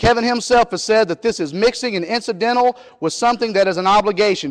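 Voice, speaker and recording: Over noticeable background noise, a man talks at a very fast pace. His pitch is high, with ordinary variation. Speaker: debater. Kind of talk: formal debate rejoinder. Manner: animated.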